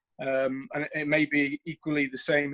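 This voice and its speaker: A man's fairly high voice with a British accent, in a dry, close sound with no echo. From United Kingdom. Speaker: military officer. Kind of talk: audience question in online panel. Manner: halting, many fillers.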